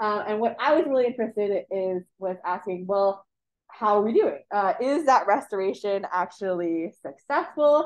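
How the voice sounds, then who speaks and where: With an American accent, a woman at a medium pitch talks at a moderate pace with lively intonation. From San Francisco Bay Area, California. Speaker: ecologist, PhD student. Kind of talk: academic talk to live audience. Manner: casual, conversational.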